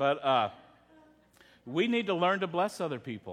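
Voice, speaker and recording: Speaking with a Texan accent, a man has a high pitch. He keeps a moderate pace. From Texas. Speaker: pastor. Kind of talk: sermon. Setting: church.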